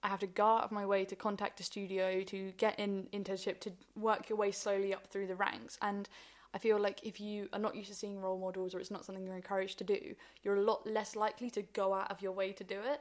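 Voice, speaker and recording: A woman talks very fast at a medium pitch, her intonation monotone and flat. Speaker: music producer. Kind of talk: casual interview chat. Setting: radio studio.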